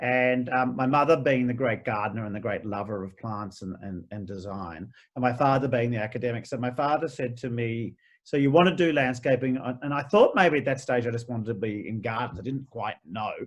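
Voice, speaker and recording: In an Australian accent, the speaker talks at a fairly quick pace with hardly any pauses. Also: man, medium pitch for a man, ordinary pitch variation, quiet background. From Australia, Melbourne (Vermont, outer east). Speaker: garden designer and author. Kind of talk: interview. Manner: halting, with repeated false starts.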